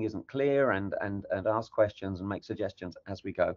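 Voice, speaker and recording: This man has a plain, everyday voice, medium in pitch, with ordinary pitch variation at a moderate pace. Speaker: technical project lead presenting. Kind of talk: workshop presentation.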